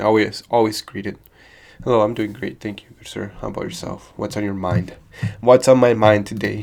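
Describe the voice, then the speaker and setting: A man speaks with monotone, flat intonation. His loudness swings a lot. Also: moderate pace. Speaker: beginner programmer streamer. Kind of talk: live coding stream, casual chat. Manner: halting, repeats words.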